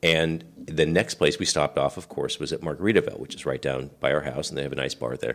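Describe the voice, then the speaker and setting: A man with an American accent talks at a very fast pace. He leaves hardly any pauses. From US Pacific Northwest, rural island near Seattle. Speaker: podcast co-host, navy veteran. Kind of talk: casual chat.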